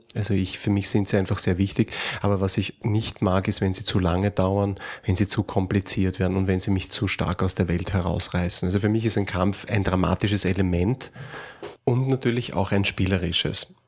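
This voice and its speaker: A man's very deep, low voice at a moderate pace, fairly even in intonation, over noticeable background noise. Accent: slight Austrian. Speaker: podcast host, role-playing game designer. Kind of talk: casual chat.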